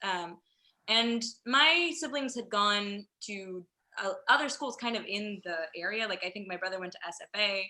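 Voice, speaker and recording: Bright and sharp in tone, a woman's medium-pitched voice carries an American accent. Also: lively intonation, moderate pace. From San Antonio suburbs, Texas. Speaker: theater producer. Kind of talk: casual chat.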